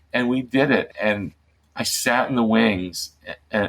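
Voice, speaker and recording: A man's medium-pitched, a normal speaking voice. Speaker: middle grades author and former television writer. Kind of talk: interview answer, telling a personal anecdote.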